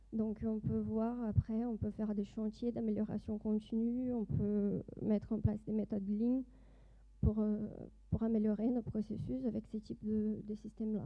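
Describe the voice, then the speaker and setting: At a fairly slow pace, a woman speaks in a fairly high voice with monotone, flat intonation. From Brazil. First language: Portuguese (speaking French). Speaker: doctoral student and industry project manager. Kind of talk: conference presentation. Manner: hesitant, many fillers.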